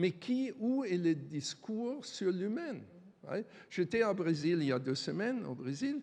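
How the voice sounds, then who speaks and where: A man talks at a very slow pace and a high pitch. His voice has very wide pitch swings and big swings in loudness. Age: 60s. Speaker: supply chain strategy expert, panelist. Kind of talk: conference panel discussion. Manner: halting, many repetitions.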